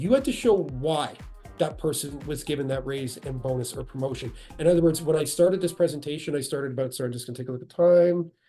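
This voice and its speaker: Speaking at a very fast pace, a man has a fairly high pitch, ordinary pitch variation, a dark, mellow tone and a somewhat breathy sound. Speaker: HR executive presenting a webinar. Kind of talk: webinar presentation. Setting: online webinar call. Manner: conversational, with self-corrections.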